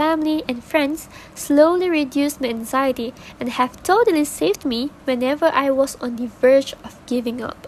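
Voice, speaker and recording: Against noticeable background noise, a woman with a non-native accent speaks at a moderate pace. Her pitch is high, with ordinary variation. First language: not English. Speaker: podcast guest. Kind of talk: scripted podcast discussion. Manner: formal.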